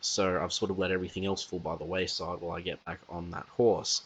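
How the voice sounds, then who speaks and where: Quietly, a man with a very deep, low pitch talks at a fairly quick pace. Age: young. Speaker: podcast host. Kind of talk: casual podcast monologue.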